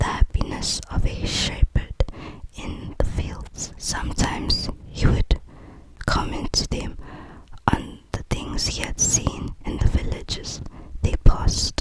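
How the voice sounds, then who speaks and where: Whispering at a very slow pace with a gentle tone, the voice sits over noticeable background noise. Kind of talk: ASMR book reading to help sleep; whispered bedtime reading. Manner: soft, whispered, gentle.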